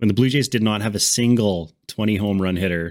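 In a very clean recording with a silent background, a man uses a normal speaking voice at a fairly low pitch with ordinary pitch variation. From Canada. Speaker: baseball podcast host. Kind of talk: casual chat.

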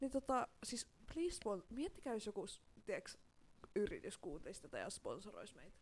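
Speaking at a moderate pace, a woman with a high voice makes very wide pitch swings. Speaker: podcast co-host. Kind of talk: casual chat.

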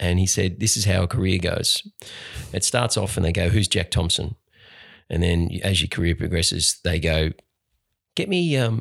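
A man with an Australian accent and a very deep, low pitch, ordinary pitch variation and very even loudness, at a moderate pace with long, frequent pauses, dry and close with no echo in a very clean recording with a silent background. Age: 40s. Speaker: actor and singer. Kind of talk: casual chat.

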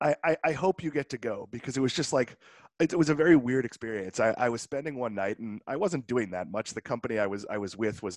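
With an American accent, a man speaks at a very fast pace and medium pitch, his intonation lively. The sound is dry and close with no echo, on a very clean recording with a silent background. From Massachusetts, North Shore (Swampscott). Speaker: podcast host. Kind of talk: casual chat.

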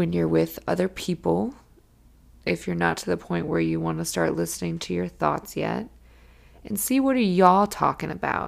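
A woman speaks at a moderate pace in a very clean recording with a silent background. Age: 30s. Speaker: self-care podcast host. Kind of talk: casual solo monologue.

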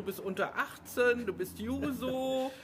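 Noticeable background noise is present. Over it, a woman talks with a fairly high voice. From Hamburg. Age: 50s. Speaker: local party podcast host. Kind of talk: casual interview.

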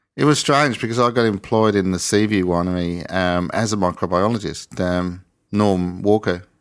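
A man speaks with an Australian accent. His pitch rises and falls in an ordinary way. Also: fairly low pitch for a man, moderate pace. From England, east coast; raised in Australia from mid-1960s. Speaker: sparkling winemaker. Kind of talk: interview conversation.

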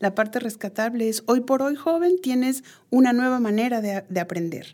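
A woman speaks with a dark, mellow tone and lively intonation. The recording is very clean, with a silent background. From Peru. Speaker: education researcher and psychologist. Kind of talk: interview. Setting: studio.

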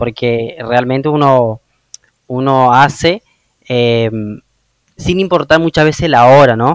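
In a northeastern Argentine accent, a man speaks at a very slow pace with long, frequent pauses, a medium pitch and ordinary pitch variation, in a dry, close sound with no echo. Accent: Argentine Spanish (northeastern, voseo). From Argentina, Misiones (Oberá). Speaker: podcast host. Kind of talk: interview.

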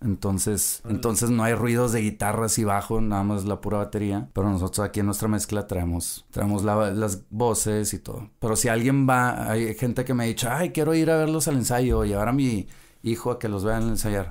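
A man with a plain, everyday voice talks at a fairly low pitch and a fairly quick pace, with hardly any pauses. His pitch varies in an ordinary way, and the recording is very clean with a silent background. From Mexico, Monterrey area. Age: 30s. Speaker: rock band bassist. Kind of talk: casual chat.

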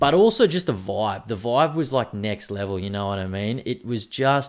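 Speaking with an Australian accent, a man uses an animated tone and lively intonation at a medium pitch and a moderate pace. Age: 30s. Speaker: podcast host. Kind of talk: casual monologue.

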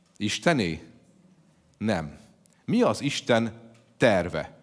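A man's fairly low voice at a very slow pace, lively in intonation, on a very clean recording with a silent background. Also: long, frequent pauses. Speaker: pastor. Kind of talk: sermon. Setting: church.

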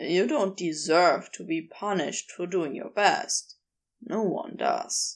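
A woman speaks in a put-on character voice, soft-spoken and drawling at a slow pace. Her pitch is fairly low with ordinary variation, and there's a slightly husky edge.

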